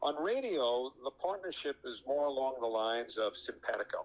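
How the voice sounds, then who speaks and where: A man with a plain, everyday voice, fairly high pitch and moderate pace. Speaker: radio baseball play-by-play broadcaster. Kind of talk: interview answer. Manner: conversational, fluent, somewhat rambling with fillers.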